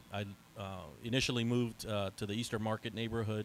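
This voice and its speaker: The speaker has an American accent. The words come at a very fast pace. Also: man. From Northern Virginia. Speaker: community organizer. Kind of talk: panel discussion.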